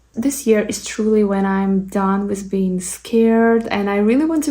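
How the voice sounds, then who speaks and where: A woman with a medium pitch speaks at a moderate pace, her somewhat breathy voice carrying a dark, mellow tone. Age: 30s. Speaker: beauty content creator. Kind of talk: chatty get-ready-with-me Q&A. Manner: pauses to collect thoughts.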